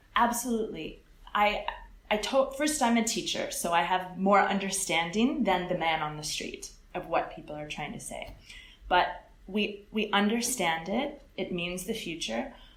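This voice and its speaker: A woman with an American accent speaks at a moderate pace, her intonation lively and her loudness swinging widely. Audible room echo and noticeable background noise surround her. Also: medium pitch for a woman. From California. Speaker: English teacher. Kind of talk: interview.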